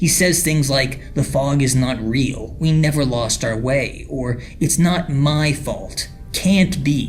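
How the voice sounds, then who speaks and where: A man's fairly high pitch at a very slow pace, with ordinary pitch variation and music in the background. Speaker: online mystery investigator. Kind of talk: analysis video narration.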